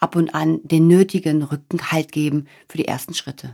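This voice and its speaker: The speech moves at a moderate pace with a dark, mellow tone. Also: woman. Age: 40s. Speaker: podcast host, change coach. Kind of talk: monologue podcast, motivational talk.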